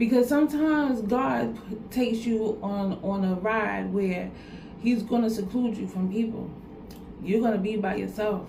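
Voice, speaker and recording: Long pauses come often as a woman speaks at a fairly slow pace. There is audible room echo. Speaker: vlogger giving life advice. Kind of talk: motivational talk to camera. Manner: repetitive, earnest.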